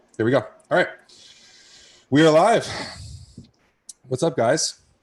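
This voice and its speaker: A man speaks with vocal fry, leaving long, frequent pauses. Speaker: podcast host. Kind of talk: casual interview chat. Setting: live-streamed podcast.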